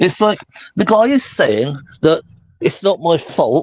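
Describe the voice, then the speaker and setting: With a Welsh accent, a man speaks at a moderate pace in a dark, mellow tone. His pitch swings very wide. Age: 60s. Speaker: interviewee, property owner in disputed case. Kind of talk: interview, rebuttal of a video.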